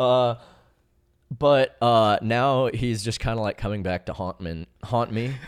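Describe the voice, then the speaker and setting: A man with an unremarkable speaking voice, medium pitch and ordinary pitch variation talks at a fairly slow pace. The sound is dry and close with no echo, in a very clean recording with a silent background. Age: 20s. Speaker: parkour athlete. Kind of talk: casual chat.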